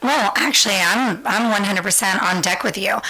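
Noticeable background noise surrounds a woman's voice. She speaks with an American accent and ordinary pitch variation. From US West Coast, San Francisco. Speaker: podcast guest. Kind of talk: casual chat.

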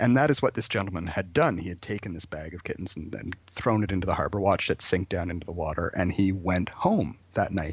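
A man with a Canadian accent and a very deep, low pitch talks at a very fast pace with hardly any pauses, somewhat breathy and with big swings in loudness. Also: ordinary pitch variation. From southern Ontario, Canada (Brantford). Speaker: folklorist and storyteller. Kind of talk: radio interview. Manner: hesitant, many fillers and repeated words.

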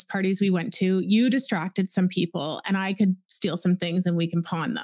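A woman with a Canadian accent speaks at medium pitch in a dark, mellow tone. Her voice is somewhat breathy, with fairly even intonation. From Ontario, Canada. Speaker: anti-trafficking activist and survivor. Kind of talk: interview testimony.

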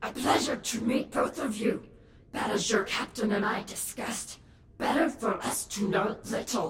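Woman in a put-on character voice, fairly high pitch, moderate pace and a slight echo. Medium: audio drama. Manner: formal, courteous, slightly stilted phrasing; reserved, guarded.

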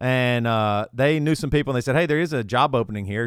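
A man with a Southern US accent, medium pitch and ordinary pitch variation, on a very clean recording over a silent background. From US South, South Carolina. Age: 40s. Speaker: rock singer and podcast host. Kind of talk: casual chat.

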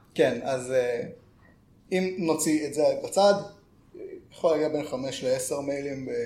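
Room echo surrounds a man with a fairly high pitch and ordinary pitch variation. He speaks at a fairly slow pace with long, frequent pauses. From northern Israel (Karmiel). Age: 20s. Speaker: software developer. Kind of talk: podcast interview. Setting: office.

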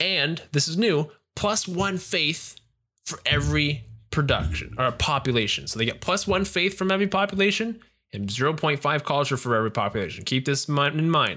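With vocal fry, a man talks in an animated, enthusiastic tone that is bright and sharp, his pitch fairly high. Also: lively intonation, moderate pace. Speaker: podcast host. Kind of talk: infomercial pitchman patter in a casual gaming podcast. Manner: animated, salesy, enthusiastic 'but wait, there's more' hawking tone.

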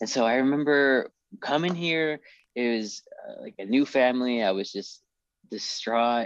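A man's normal speaking voice, medium in pitch, at a fairly slow pace, with ordinary pitch variation and big swings in loudness. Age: 30s. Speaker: store owner and new law graduate. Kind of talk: casual podcast interview.

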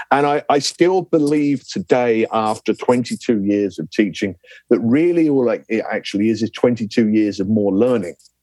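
A man with a southern English accent, medium pitch and a dark, mellow tone, at a moderate pace with lively intonation and hardly any pauses, in a dry, close sound with no echo. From southern England. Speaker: lecturer. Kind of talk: interview. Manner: energetic.

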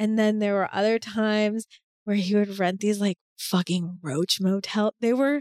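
This woman has an American accent and a plain, everyday voice at medium pitch. She talks at a fairly slow pace with ordinary pitch variation. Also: dry, close sound with no echo. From Boston, US. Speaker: sex and love coach. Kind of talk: personal testimony in casual interview.

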